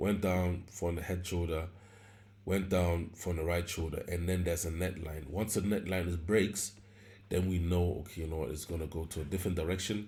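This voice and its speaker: In a non-native accent, a man speaks at a fairly quick pace with monotone, flat intonation and a very deep, low pitch. His dark, mellow tone is somewhat breathy, and there is audible room echo. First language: not English. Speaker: forex trading teacher. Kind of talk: tutorial. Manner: halting, with many fillers and self-corrections; casual.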